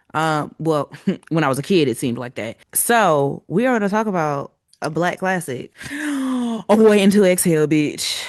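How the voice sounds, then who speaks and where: Over a quiet background, a woman with fairly low pitch and lively intonation speaks at a moderate pace, the sound dry and close with no echo. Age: 30s. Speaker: book podcast host. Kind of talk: casual chat.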